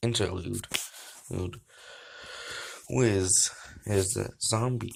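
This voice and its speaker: At a very slow pace, a man speaks somewhat breathily, his fairly low pitch showing ordinary variation. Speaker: reaction video creator. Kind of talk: reading aloud. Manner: halting with gaps and breathers.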